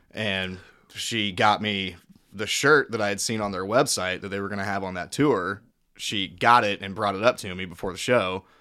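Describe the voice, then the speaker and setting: Fairly low in pitch and fairly even in intonation, a man is heard on a very clean recording with a silent background. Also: moderate pace. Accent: Midwestern American. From Missouri, Kansas City area. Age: 30s. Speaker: cook and musician. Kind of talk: casual chat. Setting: at host's home. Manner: loud, carrying voice.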